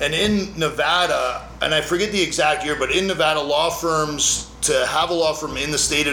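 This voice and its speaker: Over noticeable background noise and audible room echo, a man speaks fairly quickly in a fairly high pitch with fairly even intonation. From Canada (Calgary, Alberta). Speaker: lawyer. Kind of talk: casual interview. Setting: his law office.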